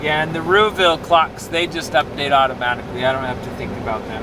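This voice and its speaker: Fairly high pitch from a man at a fairly quick pace, ordinary pitch variation, and noticeable background noise. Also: hardly any pauses. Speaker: livestreamer doing farm chores. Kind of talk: casual live stream chat.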